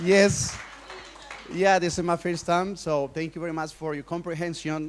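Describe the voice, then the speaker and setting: A man with a Colombian accent speaks at a moderate pace in a high voice. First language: Spanish. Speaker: workshop speaker. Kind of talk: conference talk. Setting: stage with audience. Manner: halting.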